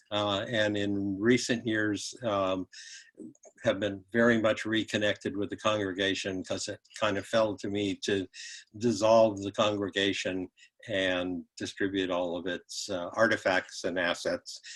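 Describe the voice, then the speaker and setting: In a very clean recording with a silent background, a man with an American accent talks at a fairly slow pace, his fairly low pitch held in a monotone, flat intonation. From Upper Peninsula of Michigan (Iron Mountain). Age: 70s. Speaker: retired professor. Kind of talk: panel talk, personal history. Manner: halting, many fillers.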